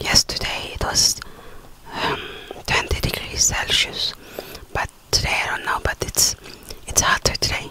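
A woman whispers at a fairly slow pace. Long, frequent pauses break up her speech. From Denmark. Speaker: ASMR creator. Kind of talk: ASMR eating video, casual talk to camera. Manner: whispered, soft-spoken. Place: home room. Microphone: studio mic.

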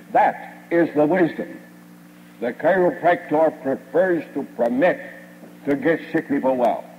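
At a fairly slow pace, a man with fairly high pitch and ordinary pitch variation talks with long, frequent pauses over light background noise. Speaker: chiropractic lecturer and radio station owner. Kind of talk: 1950s platform lecture, recorded speech to a live audience. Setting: stage with audience. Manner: formal, old-fashioned oratory, folksy and boastful, with jokes and anecdotes. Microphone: old recording.

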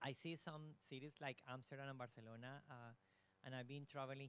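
A man speaks with a Spanish accent at a medium pitch. His intonation is monotone and flat, and the sound is dry with no echo. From Colombia, Bogota; Colombia. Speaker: audience member. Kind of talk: audience question. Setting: university hall with audience. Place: hall.

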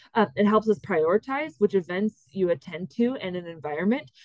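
Over a quiet background, a woman's voice, dry with no echo, shows ordinary pitch variation. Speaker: course instructor. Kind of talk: lecture. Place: home room.

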